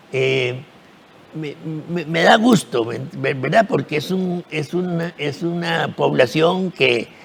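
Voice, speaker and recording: With lively intonation, a man with a fairly high pitch talks at a very slow pace. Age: 70s. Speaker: actor. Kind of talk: TV interview. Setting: TV studio. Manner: halting, repetitive.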